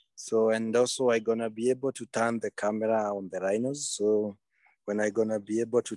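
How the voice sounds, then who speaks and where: Flat and monotone, a man speaks at a fairly quick pace in a fairly low voice. The sound is dry with no echo, and the background is quiet. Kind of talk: casual talk to a remote audience. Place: open country. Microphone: video call.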